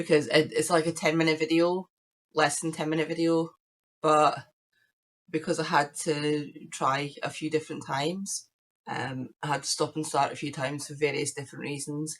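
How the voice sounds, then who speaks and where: A woman with a British accent, very deep and low in pitch, at a moderate pace, in a monotone, flat intonation. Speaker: crafting podcaster. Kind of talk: casual chat.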